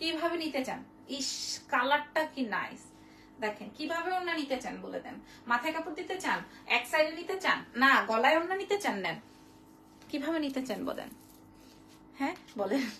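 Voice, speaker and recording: Over light background noise, a woman with a high-pitched voice speaks in a raised, projected voice with lively intonation. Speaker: online boutique seller. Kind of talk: live sales stream. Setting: live video stream. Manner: animated. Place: shop. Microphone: phone near.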